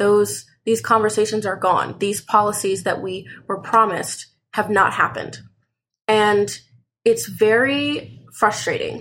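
Fairly high for a woman, a normal speaking voice comes at a fairly slow pace with fairly even intonation. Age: 20s. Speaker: college student. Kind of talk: casual chat. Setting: in bed at home.

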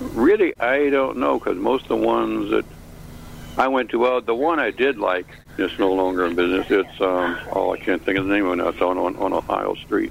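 A man with an American accent, a fairly quick pace and very even loudness, over noticeable background noise. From US Midwest, Chicago. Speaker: caller. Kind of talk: casual chat. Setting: video call.

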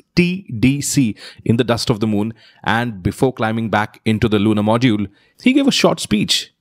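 A man talks at a moderate pace with lively intonation. His tone is animated and playful. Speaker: podcast host. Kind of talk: scripted narration with jokes. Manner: animated, playful, joking.

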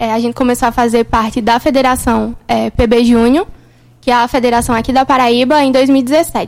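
At a moderate pace, a woman speaks in a high voice with monotone, flat intonation. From sertão of Pernambuco, Brazil. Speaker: university student, junior company member. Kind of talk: radio interview.

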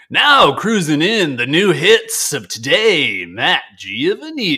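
A man's put-on character voice, high-pitched and delivered at a fairly slow pace. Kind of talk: announcer patter. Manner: hyped.

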